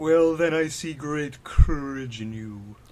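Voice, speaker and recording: A man uses a put-on character voice pitched fairly high. He speaks at a fairly slow pace. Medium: read story.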